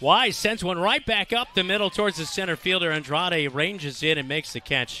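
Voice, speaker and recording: Over noticeable background noise, a man talks at a very fast pace in an animated tone. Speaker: play-by-play sports commentator. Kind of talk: live commentary. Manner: animated on big plays.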